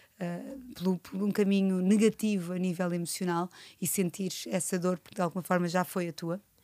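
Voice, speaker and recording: A woman with an unremarkable speaking voice talks at a moderate pace and medium pitch, with fairly even intonation and big swings in loudness. The recording is very clean with a silent background and a dry, close sound with no echo. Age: 40s. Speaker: podcast host and nutritionist. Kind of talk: casual interview.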